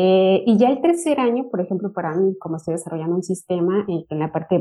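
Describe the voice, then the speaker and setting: A woman at medium pitch and a fairly quick pace, with music in the background. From Mexico, Michoacán. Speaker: university lecturer and doctoral student. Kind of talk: panel discussion.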